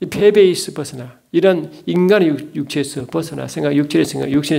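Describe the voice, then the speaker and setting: Very fast pace with audible room echo. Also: man. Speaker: theology lecturer and preacher. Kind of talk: lecture. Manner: animated.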